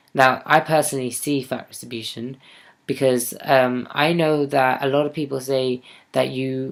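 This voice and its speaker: The speech moves at a moderate pace with fairly even intonation. It is a very clean recording with a silent background. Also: man. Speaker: vlogger. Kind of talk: personal video diary. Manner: hesitant, many fillers.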